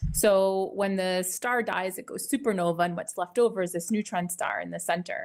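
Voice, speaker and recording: A woman with a Canadian accent speaks at a medium pitch with ordinary pitch variation. She has an ordinary speaking voice. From Ottawa, Canada. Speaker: astrophysicist professor. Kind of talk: interview. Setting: live stream on Clubhouse and YouTube.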